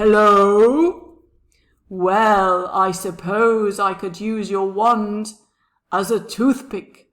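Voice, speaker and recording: This put-on character voice is gruff and growling. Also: female-sounding voice. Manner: booming.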